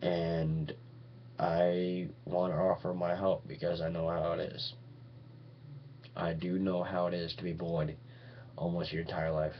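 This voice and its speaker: A man's very deep, low voice with long, frequent pauses and audible room echo. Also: fairly slow pace. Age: 20s. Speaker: vlogger. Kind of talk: webcam monologue. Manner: halting.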